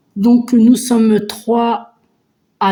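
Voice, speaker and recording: In a dark, mellow tone, a woman speaks at a very slow pace. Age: 50s. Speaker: budgeting vlogger. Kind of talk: casual vlog chat. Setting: at home. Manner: hesitant, many fillers.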